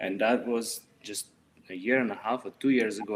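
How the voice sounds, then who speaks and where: This man speaks with a Russian accent. His pace is moderate and his intonation fairly even. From Russia, Saint Petersburg. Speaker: street artist. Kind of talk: interview. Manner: halting.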